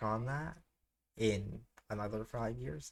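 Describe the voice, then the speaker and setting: This man's voice has a fairly low pitch. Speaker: scanlation group founder and translator. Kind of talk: casual chat. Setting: live stream. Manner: halting, many filler sounds.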